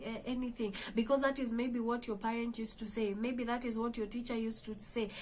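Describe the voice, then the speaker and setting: A woman with a Kenyan accent speaks at a fairly high pitch in a monotone, flat intonation. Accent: Kenyan English, Kamba. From Kenya, Kamba. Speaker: motivational vlogger. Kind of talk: motivational talk. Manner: hesitant, with fillers.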